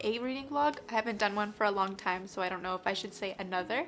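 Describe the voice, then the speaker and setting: Music plays in the background. Over it, a woman speaks with lively intonation. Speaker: book vlogger. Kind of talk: casual talk to camera.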